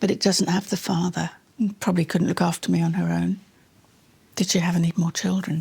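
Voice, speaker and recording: A woman talks at a fairly quick pace in a dark, mellow tone with vocal fry. Her intonation is monotone and flat, her loudness very even, with long, frequent pauses. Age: 70s. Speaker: adoptee searching for birth family. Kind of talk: emotional conversation.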